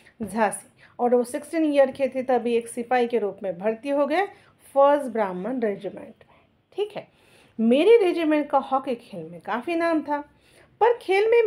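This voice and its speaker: High-pitched and dark, mellow in tone, a woman's voice swings very widely in pitch. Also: big swings in loudness. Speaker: school teacher. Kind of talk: lesson explaining a textbook chapter with reading aloud.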